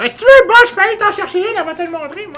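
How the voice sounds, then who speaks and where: A squeaky, put-on character voice at an extremely high pitch and a very fast pace. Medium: actual play.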